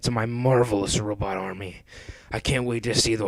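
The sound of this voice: The speaker uses an unforced reading voice. The intonation stays fairly even.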